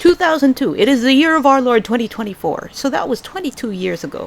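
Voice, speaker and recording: Noticeable background noise surrounds a woman speaking in an American accent. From Philippines. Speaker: book reviewer. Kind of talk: casual book review vlog. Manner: casual, halting with fillers.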